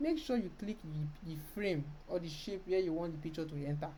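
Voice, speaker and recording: A woman's fairly low, somewhat breathy voice with a dark, mellow tone, lively intonation, a fairly quick pace and audible room echo. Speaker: design tutorial creator. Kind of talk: screen-recorded software tutorial. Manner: fast.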